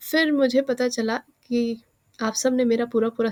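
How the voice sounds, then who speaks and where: Speaking at a fairly slow pace, a woman keeps a fairly high pitch and a monotone, flat intonation. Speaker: exam aspirant YouTuber. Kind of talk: casual vlog talk.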